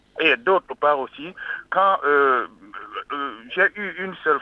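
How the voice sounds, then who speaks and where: The intonation is lively. The pace is very slow. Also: man. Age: 60s. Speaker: caller. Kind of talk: call-in testimony.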